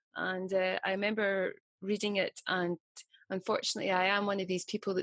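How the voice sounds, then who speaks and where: A woman with a strong Scottish accent in a flat monotone. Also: dry, close sound with no echo. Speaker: meditation teacher, interviewer. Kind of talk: interview.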